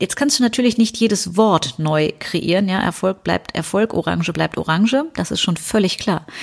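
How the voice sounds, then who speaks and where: A woman with a medium pitch and vocal fry talks at a moderate pace with lively intonation. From Rhineland, western Germany. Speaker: business coach and podcast host. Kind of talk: solo podcast monologue. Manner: casual, conversational.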